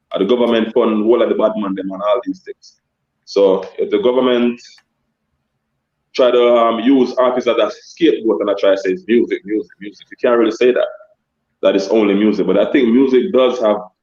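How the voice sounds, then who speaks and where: A man with a Jamaican accent talks at a moderate pace. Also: long, frequent pauses. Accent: kept Jamaican. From Jamaica-born, raised in Scarborough, Toronto. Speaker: dancehall artist and DJ. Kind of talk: interview on a live stream.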